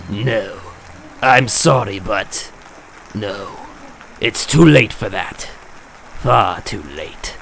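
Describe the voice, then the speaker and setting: A man's cartoonish character voice at medium pitch, very slow, with long, frequent pauses over clear background noise. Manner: theatrical, mocking.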